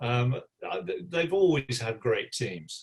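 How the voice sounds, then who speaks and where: A man's voice with vocal fry. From West Midlands, England (West Bromwich). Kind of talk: press conference. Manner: halting, with fillers and repeats.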